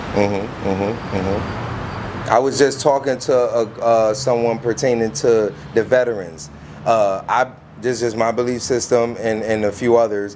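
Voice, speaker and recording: Against noticeable background noise, a man speaks at a fairly slow pace with a medium pitch and ordinary pitch variation. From Bridgeport, Connecticut. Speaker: street interviewer and video host. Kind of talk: street interview.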